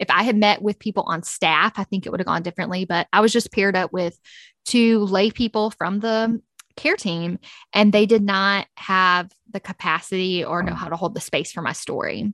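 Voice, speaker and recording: A woman's unremarkable speaking voice at a medium pitch and moderate pace, with fairly even intonation and a dry, close sound with no echo against a quiet background. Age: 30s. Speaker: author and podcaster. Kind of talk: interview testimony.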